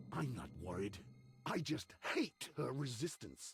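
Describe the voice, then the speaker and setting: A man speaks in a put-on character voice at medium pitch, fairly slowly, with very wide pitch swings. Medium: video game. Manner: disdainful.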